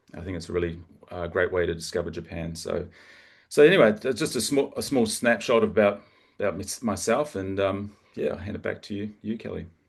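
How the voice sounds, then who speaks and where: With a New Zealand accent, a man speaks at a fairly quick pace and fairly low pitch, with ordinary pitch variation. His loudness swings widely, and the background is quiet. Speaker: local travel partner. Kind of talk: information session presentation. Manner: halting, many fillers and repetitions.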